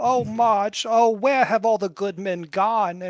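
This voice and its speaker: At a fairly slow pace, a man uses a put-on character voice pitched high. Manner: wistful, sighing.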